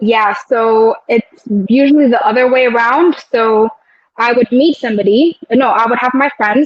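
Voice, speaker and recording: With music in the background, a woman talks at a moderate pace in a fairly high pitch. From UAE. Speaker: air traffic controller and training instructor. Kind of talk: interview. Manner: conversational, many fillers.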